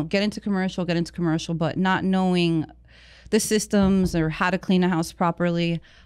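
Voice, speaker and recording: In a very clean recording with a silent background, a woman with an American accent uses an ordinary speaking voice at a fairly low pitch, keeping a moderate pace and very even loudness. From New Jersey. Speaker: cleaning business owner. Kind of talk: casual interview. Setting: studio.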